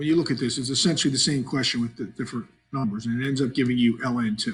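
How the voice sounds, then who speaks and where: In a very clean recording with a silent background, a man talks very fast at a medium pitch. His voice is somewhat breathy, with fairly even intonation. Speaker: math teacher. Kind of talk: tutorial.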